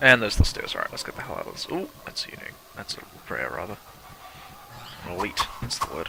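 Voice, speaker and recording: Over noticeable background noise, a man talks at a very fast pace broken by long, frequent pauses. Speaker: gaming video creator. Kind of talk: gameplay commentary. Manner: casual, chatty.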